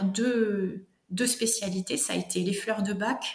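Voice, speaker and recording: A woman speaks very slowly in a southwestern French accent. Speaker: herbalist and author. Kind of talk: interview.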